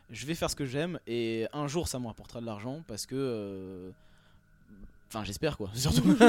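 The speech moves at a moderate pace with lively intonation. Long, frequent pauses appear throughout. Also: man, medium pitch for a man. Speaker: rapper. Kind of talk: casual radio interview. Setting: backstage at concert venue.

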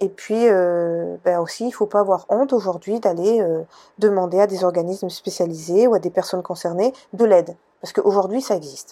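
This woman speaks at a medium pitch with a dark, mellow tone. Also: ordinary pitch variation, moderate pace. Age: 40s. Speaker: podcast host, personal development coach. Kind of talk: solo podcast monologue. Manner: hesitant, many fillers.

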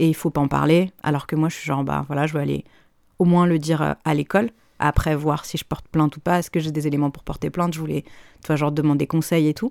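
Talking at a very fast pace, a woman with a very deep, low pitch keeps her intonation fairly even. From France, Paris. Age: 30s. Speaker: voice-over and dubbing artist. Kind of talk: personal testimony in interview.

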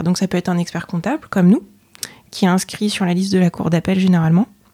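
A woman speaks at a medium pitch in a dark, mellow tone, somewhat breathy. The recording is very clean, with a silent background. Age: 30s. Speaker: chartered accountant and auditor. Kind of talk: interview. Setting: office. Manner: hesitant, many fillers.

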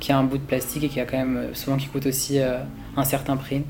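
A man with a medium pitch talks fairly quickly in a monotone, flat intonation. Audible room echo surrounds his voice. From rural France. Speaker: fashion design student. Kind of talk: interview testimony. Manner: halting.

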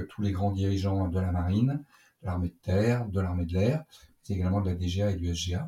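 Over a very clean recording with a silent background, a man with a very deep, low pitch and a dark, mellow tone sounds somewhat breathy, speaking at a moderate pace with ordinary pitch variation. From Brittany, France. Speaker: naval officer and fighter pilot. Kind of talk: interview. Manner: halting.

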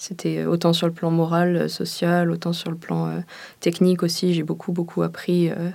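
Speaking at a moderate pace, a woman has a dark, mellow tone and a fairly low pitch. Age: 20s. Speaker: engineering student. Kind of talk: interview testimony.

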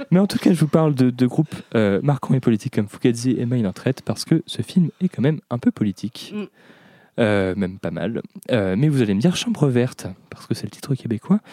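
In a dry, close sound with no echo, a man with a medium pitch and a dark, mellow tone talks at a fairly quick pace with very wide pitch swings. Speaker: podcast host. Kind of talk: casual chat.

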